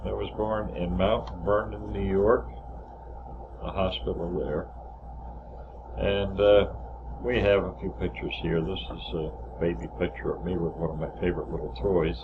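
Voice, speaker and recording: A man with a very deep, low pitch and very wide pitch swings speaks at a moderate pace with long, frequent pauses, amid audible room echo and noticeable background noise. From northern New Jersey. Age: 70s. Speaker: family memoir narrator. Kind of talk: reminiscing over photos. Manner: halting.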